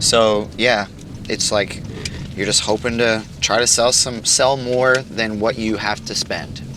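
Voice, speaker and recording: Speaking very slowly, a man keeps a medium pitch and fairly even intonation. Noticeable background noise runs under his voice. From southern Illinois. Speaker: musician. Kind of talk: casual chat.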